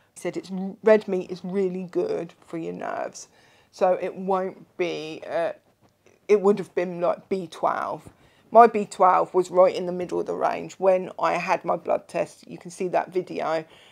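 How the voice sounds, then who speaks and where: At a fairly slow pace, a woman speaks with big swings in loudness in a very clean recording with a silent background. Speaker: vlogger sharing diet journey. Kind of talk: casual video update. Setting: seated in a chair at home. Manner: chatty.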